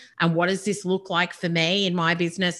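A woman with an Australian accent speaks at medium pitch on a very clean recording with a silent background. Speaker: business and speaker coach. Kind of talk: interview. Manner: animated.

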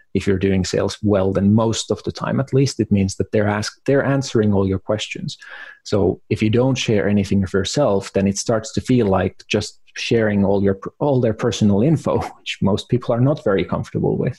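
A man with a Finnish accent speaks at a moderate pace in a fairly low, somewhat breathy voice with a dark, mellow tone. His loudness stays very even, and his pitch varies in an ordinary way. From Finland. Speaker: marketing consultant. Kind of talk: interview.

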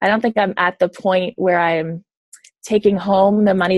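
Woman with an American accent and an unremarkable speaking voice, fairly low-pitched at a moderate pace, in a dry, close sound with no echo. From US Northeast, suburban Boston. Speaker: psychologist. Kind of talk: interview.

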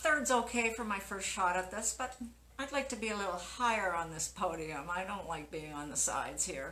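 A woman's Canadian accent, medium pitch and lively intonation at a moderate pace, with audible room echo. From Canada, Winnipeg. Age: 60s. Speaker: masters cyclocross and mountain bike racer. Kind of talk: casual interview.

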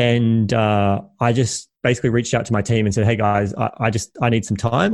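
Speaking fairly quickly against a quiet background, a man with a plain, everyday voice keeps a medium pitch and ordinary pitch variation. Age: 30s. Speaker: entrepreneur and podcast host. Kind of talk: casual interview chat.

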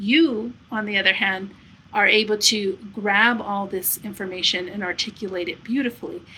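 This woman's voice sits at a medium pitch with ordinary pitch variation. She speaks at a moderate pace. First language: not English. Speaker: podcast host. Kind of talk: casual interview conversation. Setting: home studio.

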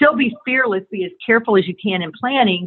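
Using a plain, everyday voice, a woman speaks at a fairly quick pace and medium pitch with ordinary pitch variation. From US South. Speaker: advertising agency owner. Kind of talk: interview. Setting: phone call.

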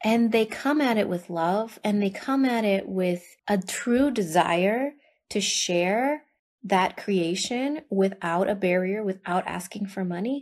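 On a very clean recording with a silent background, a woman with a plain, everyday voice speaks at a fairly slow pace, medium pitch and ordinary pitch variation. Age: 30s. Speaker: podcast host. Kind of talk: casual monologue.

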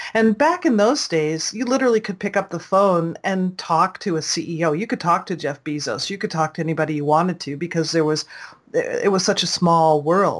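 A woman with an unremarkable speaking voice talks at a moderate pace, fairly low in pitch, with ordinary pitch variation. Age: 60s. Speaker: online business consultant and self-publisher. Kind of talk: interview.

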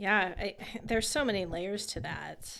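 With an American accent, a woman talks with vocal fry and ordinary pitch variation. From California. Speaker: pastor. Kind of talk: casual chat.

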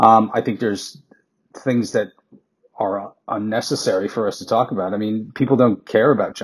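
A man with an American accent talks at a moderate pace. His pitch is medium, and his intonation is fairly even. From New York (Queens). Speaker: advertising strategist. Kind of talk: podcast interview. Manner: halting, many fillers.

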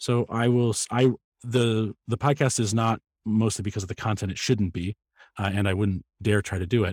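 A man talks at a moderate pace in a fairly low pitch with fairly even intonation. The very clean recording has a dry, close sound with no echo and a silent background. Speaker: podcaster. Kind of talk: casual interview chat. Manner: thoughtful, opinionated.

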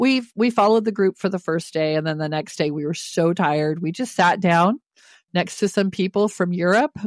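A woman talks with a medium pitch and lively intonation. Her pace is moderate. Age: 60s. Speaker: retiree. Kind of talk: casual chat. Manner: animated.

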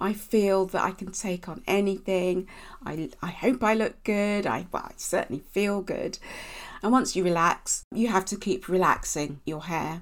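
A woman speaks at a medium pitch with a southern English accent and ordinary pitch variation. Her pace is fairly slow, and the recording is very clean with a silent background. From Basingstoke, Hampshire, southern England (Nigerian family). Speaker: beauty magazine editor. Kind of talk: casual interview.

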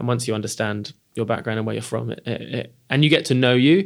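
A man's fairly quick speech with vocal fry. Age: 30s. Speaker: podcast host and company CEO. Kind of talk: interview. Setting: hosted venue.

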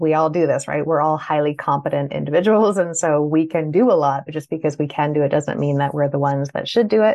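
Speaking at a fairly quick pace with hardly any pauses, a woman with a Canadian accent has a very deep, low pitch and ordinary pitch variation. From Canada. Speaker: business owner. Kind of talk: panel discussion.

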